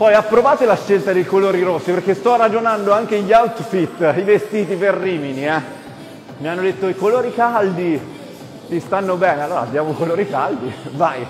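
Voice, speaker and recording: A man speaks fairly quickly. Clear music can be heard behind him. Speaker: fitness instructor. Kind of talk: energetic workout coaching. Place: gym. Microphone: lapel.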